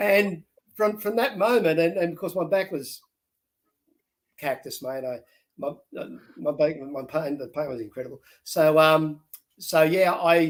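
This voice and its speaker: A man with an Australian accent at a moderate pace, with ordinary pitch variation. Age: 60s. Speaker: reality show contestant. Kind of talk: interview. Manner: halting.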